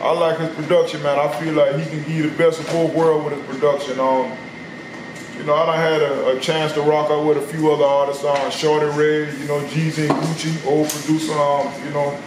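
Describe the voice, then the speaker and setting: With fairly high pitch and monotone, flat intonation, a man speaks at a fairly quick pace amid noticeable background noise and audible room echo. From South Carolina. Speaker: rapper. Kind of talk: interview. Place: shop. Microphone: camera far.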